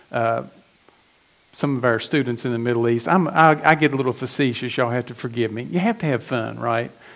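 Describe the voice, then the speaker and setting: A man in an American accent goes at a fairly quick pace while noticeable background noise fills the recording. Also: medium pitch for a man, ordinary pitch variation. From West Virginia. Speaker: pastor. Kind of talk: sermon.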